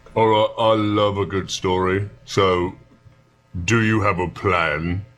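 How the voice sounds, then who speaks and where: A man speaks in a put-on character voice. It is fairly low-pitched and fairly slow. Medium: actual play. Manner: casual, playful.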